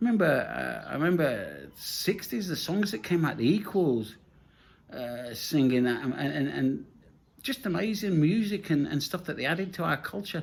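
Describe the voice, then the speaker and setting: With an English Midlands accent, a man talks at a moderate pace and a high pitch. His pitch swings very widely. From English Midlands, Nottingham. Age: 60s. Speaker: vlogger. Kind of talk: casual monologue. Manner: repetitive, halting restarts.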